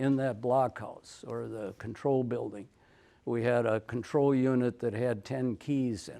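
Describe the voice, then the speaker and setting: In an Upper Midwest accent, the speaker goes at a fairly slow pace with fairly even intonation on a very clean recording with a silent background. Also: man. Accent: Upper Midwest American. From North Dakota. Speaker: retired forest research technician. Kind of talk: conference presentation.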